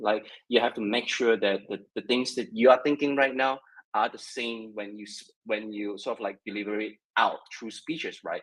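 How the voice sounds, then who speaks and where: A man with a Mandarin accent, speaking at a moderate pace. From China. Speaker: web3 content creator. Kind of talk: casual discussion. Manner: halting, many repetitions.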